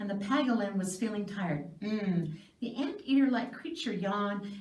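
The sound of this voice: The reading voice is unforced, and its pitch moves in an ordinary way.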